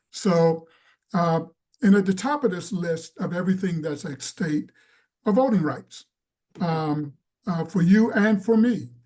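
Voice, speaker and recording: Speaking at a fairly slow pace with long, frequent pauses, a man uses a high pitch with ordinary variation and a dark, mellow tone. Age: 70s. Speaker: voting rights advocate. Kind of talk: teach-in talk.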